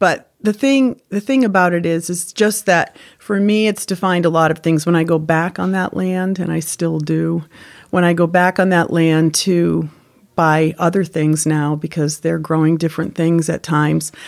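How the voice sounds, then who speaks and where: A woman with a plain, everyday voice and a fairly low pitch speaks at a moderate pace with ordinary pitch variation, on a very clean recording with a silent background. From Connecticut. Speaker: former tobacco farm worker. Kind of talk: oral-history interview, reminiscing. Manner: reflective; warm, sentimental.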